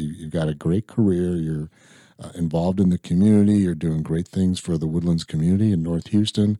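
A man with a Midwestern American accent and a very deep, low pitch, ordinary pitch variation, a dry, close sound with no echo, and a very clean recording with a silent background. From Illinois. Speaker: podcast host. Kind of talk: casual interview.

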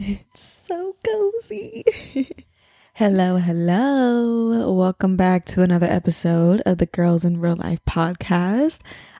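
A woman with a medium pitch speaks at a very slow pace in a dark, mellow tone. The recording is very clean and dry, close with no echo, over a silent background. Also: ordinary pitch variation. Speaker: podcast host. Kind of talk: casual chat. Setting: home podcast studio. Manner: low energy, low-key.

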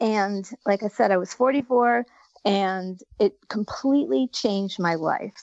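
A woman with an unremarkable speaking voice talks at a fairly slow pace, at a medium pitch, with ordinary pitch variation. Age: 60s. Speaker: surf retreat founder. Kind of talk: interview. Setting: phone call.

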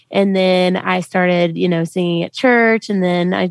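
With a Southern US accent, the voice comes through in a very clean recording with a silent background, dry and close with no echo. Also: woman. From US South, Memphis, Tennessee. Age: 20s. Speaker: country singer. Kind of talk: interview.

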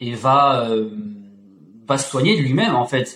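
A man speaks at a fairly slow pace in a medium pitch, with ordinary pitch variation. His voice is somewhat breathy. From France, Auvergne. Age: 30s. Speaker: fitness coach. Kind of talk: casual chat. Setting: video call.

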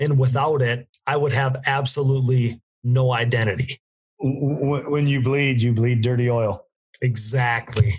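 This man talks fairly slowly at a medium pitch, his voice somewhat breathy. His intonation stays monotone and flat, and his loudness is very even. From US Midwest, Wisconsin. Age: 20s. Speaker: ATV racer and podcaster. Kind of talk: casual chat.

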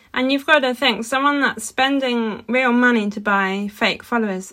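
Moderate pace and fairly even intonation from a woman with a plain, everyday voice. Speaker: podcast co-host, wood engraver. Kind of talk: casual chat.

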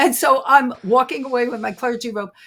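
A woman's high-pitched voice, bright and sharp in tone and animated. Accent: New York. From Brooklyn, New York. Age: 70s. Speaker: psychic detective and author. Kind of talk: interview conversation, storytelling. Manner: animated, laughs often.

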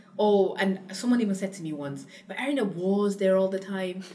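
Noticeable background noise runs under the speech. The pace is fairly quick. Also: woman. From Cameroon. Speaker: founder of a spice company. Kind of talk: casual interview conversation.

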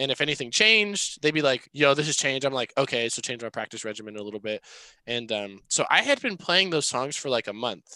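With an American accent and a bright, sharp tone, a man speaks at a fairly quick pace with lively intonation, the sound dry and close with no echo. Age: 20s. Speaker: rock band drummer. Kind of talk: casual interview chat.

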